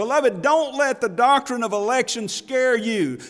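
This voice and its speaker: The speaker goes at a fairly slow pace on a very clean recording with a silent background. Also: man. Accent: Alabama. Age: 50s. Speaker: pastor. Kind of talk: sermon. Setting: church.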